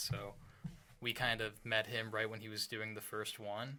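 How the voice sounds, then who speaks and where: Soft-spoken man with an American accent, fairly low in pitch, with a bright, sharp tone. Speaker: rock band guitarist and singer. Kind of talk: casual chat. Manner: quiet, soft-spoken.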